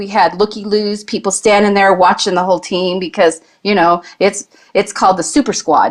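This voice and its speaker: In a normal speaking voice, a woman talks at a medium pitch and a moderate pace. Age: 60s. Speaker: guest, competitive shooter. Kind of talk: casual chat.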